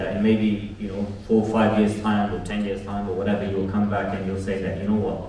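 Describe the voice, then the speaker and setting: Against noticeable background noise and audible room echo, a man speaks with a London accent in a fairly low voice. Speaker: podcast host and community organiser. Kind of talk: closing remarks to live audience. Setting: live event with audience. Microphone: poor audio, no proper mic.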